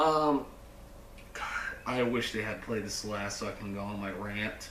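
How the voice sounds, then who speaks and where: A fairly low-pitched man at a fairly slow pace, ordinary pitch variation, with noticeable background noise and audible room echo. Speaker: movie reviewer. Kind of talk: casual film review vlog. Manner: animated.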